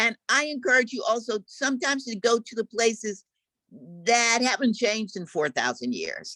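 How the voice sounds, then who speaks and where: An animated woman with an American accent talks at a moderate pace, her fairly high voice touched with vocal fry. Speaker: visual and performance artist. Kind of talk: lecture.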